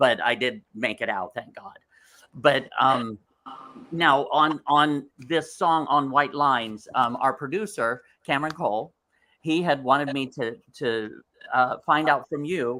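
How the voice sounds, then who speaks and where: Delivered at a fairly slow pace, the speech comes through on a very clean recording with a silent background. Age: 60s. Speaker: talk show co-host. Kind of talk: interview chat. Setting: live from a restaurant.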